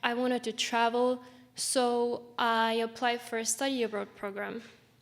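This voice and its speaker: A woman with an Estonian accent speaks with monotone, flat intonation. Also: fairly high pitch for a woman, moderate pace. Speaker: student panelist. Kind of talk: panel talk. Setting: stage with audience.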